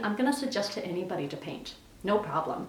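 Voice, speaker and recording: Over noticeable background noise and audible room echo, a woman with a medium pitch talks at a fairly quick pace with lively intonation. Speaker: psychic medium, tarot tutorial. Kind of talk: tutorial. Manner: fast; casual, conversational.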